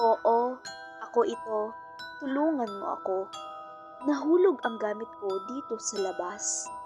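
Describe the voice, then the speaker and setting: Using a put-on character voice, a woman talks hoarsely at a fairly high pitch and fairly slow pace, with long, frequent pauses and clear music in the background. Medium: read story.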